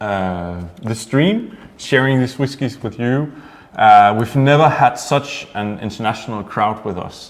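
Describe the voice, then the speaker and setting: With music in the background, a man in a Danish accent talks at a fairly slow pace and medium pitch, his pitch varying in an ordinary way. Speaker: distillery host of whisky tasting. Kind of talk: online tasting livestream. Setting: studio at distillery, livestream.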